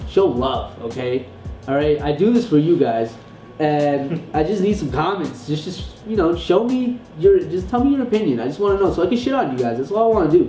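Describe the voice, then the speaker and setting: Over music in the background, a man talks at a moderate pace, his pitch swinging very widely. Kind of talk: casual podcast discussion.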